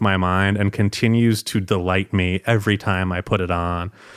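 On a very clean recording with a silent background and a dry, close sound with no echo, a man with a plain, everyday voice speaks at a moderate pace, fairly low in pitch with fairly even intonation. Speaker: music journalist and author. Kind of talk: casual chat.

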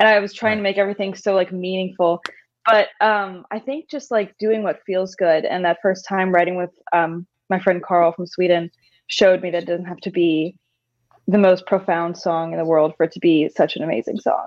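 This is a woman with a normal speaking voice. She talks at a medium pitch and a moderate pace. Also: fairly even intonation. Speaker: singer-songwriter. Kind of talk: casual interview chat.

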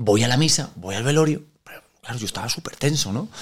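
Very wide pitch swings mark a man's fairly high voice. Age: 30s. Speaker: actor. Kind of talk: casual chat.

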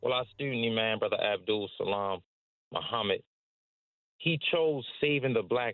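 A man's medium-pitched, ordinary speaking voice with an American accent, at a moderate pace. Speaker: religious community organizer. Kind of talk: radio interview.

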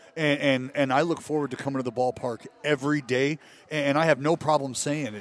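Background noise clearly present, a moderate rate of speech, and ordinary rises and falls in pitch. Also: man. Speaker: baseball TV analyst, former pitcher. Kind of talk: casual sports talk. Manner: animated.

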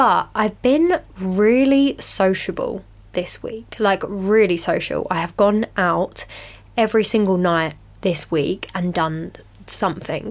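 This woman speaks very slowly, her medium pitch showing ordinary variation. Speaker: podcast host. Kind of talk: casual solo chat.

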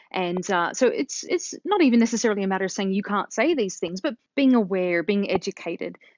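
A woman with an Australian accent talking at a very fast pace. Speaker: linguist and author. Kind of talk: interview.

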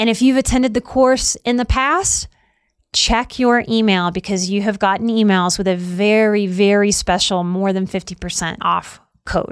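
In a plain, everyday voice, a woman speaks at a moderate pace with medium pitch and ordinary pitch variation, on a very clean recording with a silent background. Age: 40s. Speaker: podcast host, life coach and psychotherapist. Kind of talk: solo podcast monologue; course promotion.

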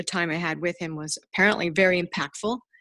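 In an American accent, a woman with a fairly low pitch uses an ordinary speaking voice with ordinary pitch variation. The recording is very clean with a silent background and a dry, close sound with no echo. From New Jersey. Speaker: dentist and hobby woodworker. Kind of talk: casual interview.

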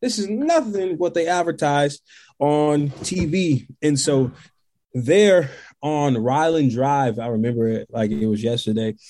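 A man with an American accent speaks at a fairly slow pace in a fairly high pitch, his tone dark and mellow. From US South, Tennessee. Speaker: inspirational speaker. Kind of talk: testimony.

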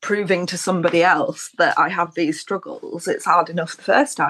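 In an unremarkable speaking voice, a woman talks at medium pitch and a moderate speed. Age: 30s. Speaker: illustrator. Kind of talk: casual chat.

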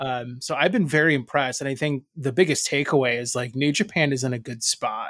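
Speaking at a moderate pace, a man has a fairly high pitch. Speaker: podcast host. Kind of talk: casual banter, wrestling podcast discussion. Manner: jokey, profane, animated.

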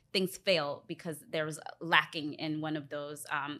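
A woman with an American accent, very deep and low in pitch, at a moderate pace. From US, DC area (Alexandria, Virginia). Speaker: relationship podcast guest. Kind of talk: casual chat.

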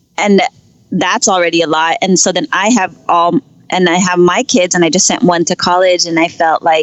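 A woman talks with a Californian accent. Her pace is moderate and her pitch variation ordinary. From San Francisco Bay Area. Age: 30s. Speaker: podcast guest. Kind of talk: casual interview. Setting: Skype call while driving. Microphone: Skype call.

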